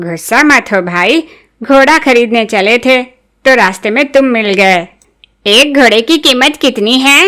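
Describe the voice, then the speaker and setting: Using a cartoonish character voice, a woman speaks at a high pitch with lively intonation. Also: fairly slow pace, very even loudness. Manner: naive, earnest, proud.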